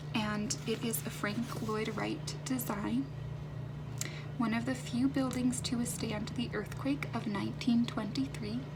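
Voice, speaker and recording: There is noticeable background noise as a woman talks. She is soft-spoken and goes at a fairly slow pace. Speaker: ASMR creator. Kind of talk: ASMR soft-spoken commentary.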